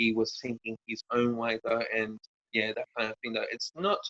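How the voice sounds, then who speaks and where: In an Australian accent, a man talks at a moderate pace and medium pitch, with a dry, close sound and no echo. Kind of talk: interview. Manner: halting, many fillers.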